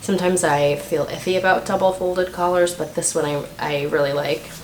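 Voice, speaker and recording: A woman speaks at a moderate pace in a fairly low pitch. Noticeable background noise and audible room echo are present. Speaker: knitting podcast host. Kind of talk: casual video podcast talk. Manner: hesitant with many fillers.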